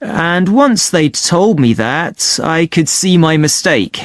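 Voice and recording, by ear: In a put-on character voice, a woman speaks slowly at a low pitch, with big pitch swings.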